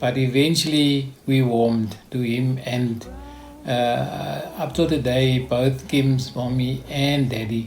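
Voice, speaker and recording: Amid noticeable background noise and audible room echo, a man of medium pitch speaks very slowly in a flat monotone. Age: 70s. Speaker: foster parent. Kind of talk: interview. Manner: halting.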